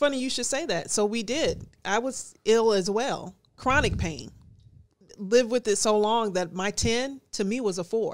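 An unremarkable speaking voice from a woman, fairly high in pitch with ordinary variation, at a fairly slow pace, in a very clean recording with a silent background. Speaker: Air Force veteran, nonprofit founder. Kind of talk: casual interview chat.

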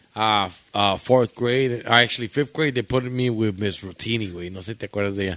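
A man with an American accent speaks at a fairly quick pace in an ordinary speaking voice, his pitch fairly low with ordinary variation. His loudness swings widely. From Michoacán, Mexico, then Chicago area. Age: 30s. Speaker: podcast guest. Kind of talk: casual chat.

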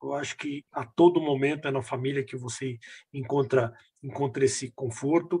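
Fairly high in pitch and somewhat breathy, a man's voice has a dark, mellow tone, fairly even intonation and big swings in loudness. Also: moderate pace. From Brazil, Minas Gerais (Belo Horizonte). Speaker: business executive. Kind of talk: casual interview. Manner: halting, repetitive fillers.

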